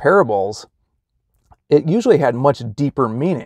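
A man's voice comes through with a dry sound, no echo and a quiet background. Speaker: religious vlogger. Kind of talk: casual vlog chat. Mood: reflective, friendly. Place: car. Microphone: phone near.

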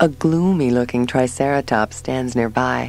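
Over noticeable background noise, a woman delivers her words in a dramatic tone at a moderate pace with lively intonation. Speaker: audiobook narrator. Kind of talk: literary audiobook reading, first-person diary-style narration of a sci-fi story. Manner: intimate, dramatic and expressive, shifting from wary and shaky to awestruck.

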